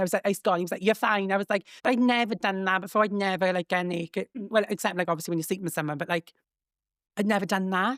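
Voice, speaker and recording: In a Welsh accent, a woman of medium pitch speaks in an animated tone, her dry, close sound free of echo on a very clean recording with a silent background. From Wales. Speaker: comedian and social media creator. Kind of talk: casual chat. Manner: camp delivery.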